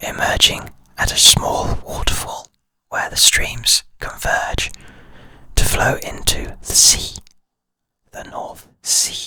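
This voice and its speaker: A whisper at a very slow pace, with long, frequent pauses and big swings in loudness. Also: man. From United Kingdom. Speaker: licensed drone pilot. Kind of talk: ASMR whispered introduction and ramble. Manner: whispered.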